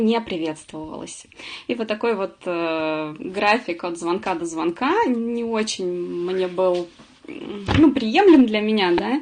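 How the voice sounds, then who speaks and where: A woman's pitch swings very widely. She keeps a fairly slow pace. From Russia, Samara. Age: 40s. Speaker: webinar presenter, former accountant. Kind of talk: webinar presentation. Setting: online webinar. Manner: many filler sounds.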